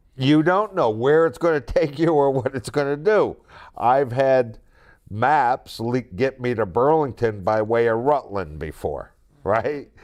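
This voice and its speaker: A man speaks with a plain, everyday voice. He goes at a fairly slow pace against a quiet background. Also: medium pitch for a man, lively intonation. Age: 60s. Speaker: podcast host. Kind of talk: casual chat.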